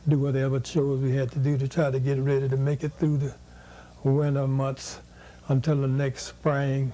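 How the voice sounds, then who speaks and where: A man with a medium-pitched, somewhat breathy voice speaks at a moderate pace in a monotone, flat intonation. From US South, Mississippi Delta. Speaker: educator and activist. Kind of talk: oral history interview. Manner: halting.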